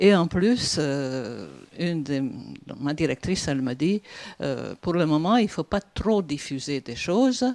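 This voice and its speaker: A woman's very deep, low voice at a very slow pace with lively intonation, on a very clean recording with a silent background. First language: Hungarian (speaking French). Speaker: PhD student, audience member. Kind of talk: audience question at conference. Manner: halting, many hesitations.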